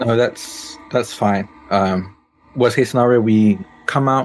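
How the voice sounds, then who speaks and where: A man's medium-pitched, monotone, flat delivery over music in the background. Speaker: tabletop roleplay performer. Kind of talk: actual play game session. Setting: video call.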